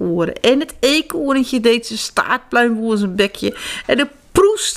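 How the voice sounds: Lively intonation in a natural reading voice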